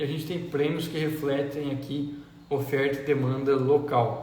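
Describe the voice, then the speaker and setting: A man's fairly high, monotone, flat voice amid noticeable background noise and audible room echo. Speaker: agronomist and agricultural market educator. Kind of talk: live stream market talk. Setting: Instagram live.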